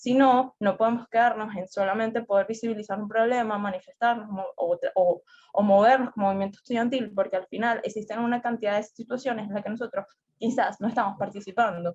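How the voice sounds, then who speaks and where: The woman sounds somewhat breathy, with a fairly high pitch. She moves at a fairly quick pace with fairly even intonation. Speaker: student representative. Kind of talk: debate. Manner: fast.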